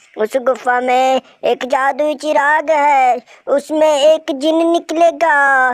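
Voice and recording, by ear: A cartoonish character voice, high-pitched, at a very slow pace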